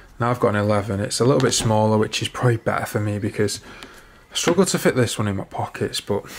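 A man's fairly low, very fast speech with fairly even intonation over light background noise. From northern England. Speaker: fitness and fashion vlogger; fashion vlogger. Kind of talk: casual vlog. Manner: casual, chatty. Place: home room. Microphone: phone near.

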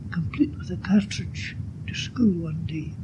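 Light background noise sits behind a man who speaks at a moderate pace in a Scottish accent. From Glasgow. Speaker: oral history contributor. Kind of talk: oral history reminiscence reading. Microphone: old recording.

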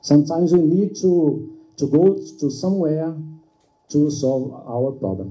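A man with a non-native accent talks at a fairly slow pace in a dark, mellow tone. His pitch varies in an ordinary way over a quiet background. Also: fairly high pitch for a man. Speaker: ESL student. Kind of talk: audience question. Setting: classroom event with live audience. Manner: halting. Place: meeting room. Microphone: camera far.

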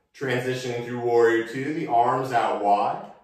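A man is talking in a room with strong echo. The background is quiet. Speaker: yoga instructor. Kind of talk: guided yoga class with calm meditative cueing. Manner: calm, slow, soothing; deliberate, gently instructive. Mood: calm, relaxed guidance. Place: home room. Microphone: camera far.

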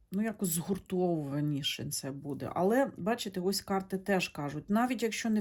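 With lively intonation at a medium pitch, a woman is heard in a very clean recording with a silent background. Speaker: tarot reader, video blogger. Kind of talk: monologue to camera, tarot reading. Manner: conversational, hesitant with fillers.

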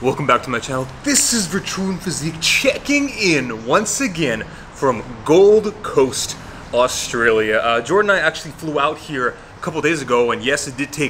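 Light background noise beneath a moderate pace. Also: man. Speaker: fitness vlogger. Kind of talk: casual vlog chat.

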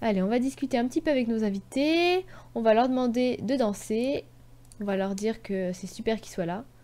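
Speaking at a moderate pace, a woman uses a fairly high pitch and a dark, mellow tone, with big swings in loudness. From Brittany, France. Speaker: gaming YouTuber. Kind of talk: let's play commentary. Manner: animated.

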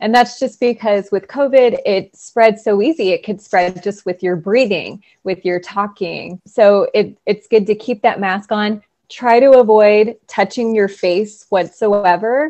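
Over a quiet background, a woman speaks at a fairly slow pace, her pitch fairly high and its variation ordinary. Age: 30s. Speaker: occupational therapist. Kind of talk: casual interview. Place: home room. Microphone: earbuds.

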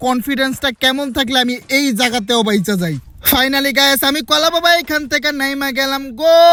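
A man shouting in a raised, projected voice at an extremely high pitch, with ordinary pitch variation and noticeable background noise. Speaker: gaming YouTuber. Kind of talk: live gameplay commentary. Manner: loud, shouting.

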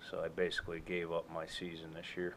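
Light background noise accompanies a man's voice. He speaks at a fairly quick pace with a very deep, low pitch. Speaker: homestead vlogger. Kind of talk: casual vlog chat. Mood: relaxed, slightly apologetic. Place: farm machine. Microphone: phone near.

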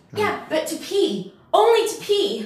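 With a slight echo, a woman does a put-on character voice at an extremely high pitch and a fairly slow pace. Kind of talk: acted comedy dialogue. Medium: comedy sketch. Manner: defensive, flustered. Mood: defensive.

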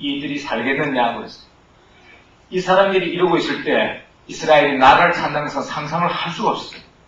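A man at a fairly high pitch, fairly quick pace and ordinary pitch variation, with audible room echo and light background noise. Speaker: missionary; missionary lecturer. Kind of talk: sermon. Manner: impassioned, shouting. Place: church.

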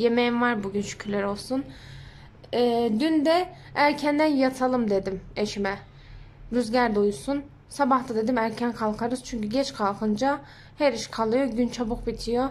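Pitched high, a woman talks at a fairly slow pace with ordinary pitch variation. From Ankara, Turkey. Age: 20s. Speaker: home vlogger, mother. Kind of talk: casual talk to camera, daily vlog.

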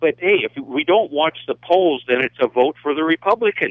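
Against a quiet background, a man speaks at a moderate pace with a dry sound and no echo. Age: 60s. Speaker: radio caller. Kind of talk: call-in comment. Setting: phone call. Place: studio.

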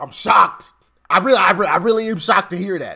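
A man with a bright, sharp tone and lively intonation at a fairly quick pace, against a quiet background. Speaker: political commentary vlogger. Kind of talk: commentary. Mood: animated, sarcastic. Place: home room.

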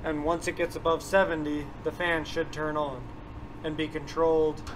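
A man speaks at a moderate pace with monotone, flat intonation. Light background noise is present. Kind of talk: tutorial. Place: farm machine.

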